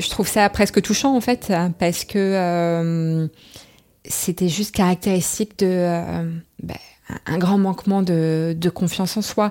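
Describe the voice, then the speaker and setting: A woman at a very slow pace with medium pitch, a dark, mellow tone, fairly even intonation, and long, frequent pauses. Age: 30s. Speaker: interviewee sharing personal story. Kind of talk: testimony.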